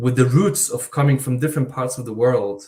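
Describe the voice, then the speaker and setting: Speaking with an Eastern European accent, a man at a medium pitch sounds somewhat breathy and shows ordinary pitch variation. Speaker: university researcher. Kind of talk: panel discussion. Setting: online live event.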